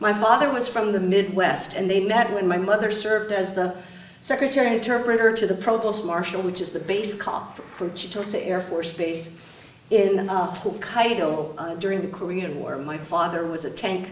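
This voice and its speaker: A woman talks at a moderate pace. The recording has audible room echo and noticeable background noise. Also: medium pitch for a woman, ordinary pitch variation. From Japan. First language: Japanese. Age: 60s. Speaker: state supreme court justice. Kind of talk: public talk.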